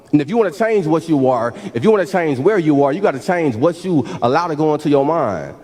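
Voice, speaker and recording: Against noticeable background noise, a man with an energetic tone talks at a fairly quick pace, his fairly high voice carrying lively intonation. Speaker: keynote speaker, motivational speaker. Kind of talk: graduation keynote speech to a live audience. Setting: live event, auditorium with PA. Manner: energetic, interactive, encouraging.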